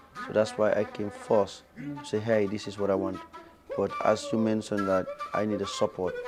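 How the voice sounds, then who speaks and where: The speech moves at a moderate pace with music playing in the background. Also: man. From Gambia. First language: Fula. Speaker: fashion entrepreneur. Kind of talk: interview.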